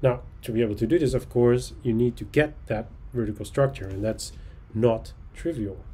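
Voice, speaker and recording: With a Dutch accent, a somewhat breathy, dark, mellow voice speaks at a moderate pace with ordinary pitch variation. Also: man, medium pitch for a man. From Netherlands (Texel); Netherlands. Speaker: oceanographer. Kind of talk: lecture. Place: home room. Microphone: webcam.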